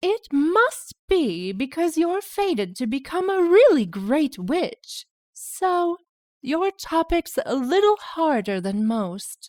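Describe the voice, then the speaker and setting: Using a put-on character voice, a woman speaks at an extremely high pitch with very wide pitch swings and a very slow pace. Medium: read story. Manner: breezy, lightly teasing.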